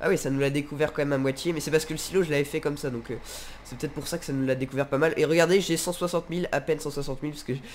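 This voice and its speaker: A man's fairly high voice rushes out at a very fast pace. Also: fairly even intonation. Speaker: gaming YouTuber. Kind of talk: casual gameplay commentary. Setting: home recording, gameplay video. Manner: casual, chatty, friendly.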